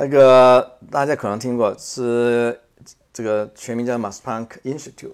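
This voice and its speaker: A man speaks at a moderate pace and medium pitch. His intonation is monotone and flat, while his loudness swings widely. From Macau. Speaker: space scientist, professor. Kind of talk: interview. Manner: halting, many fillers.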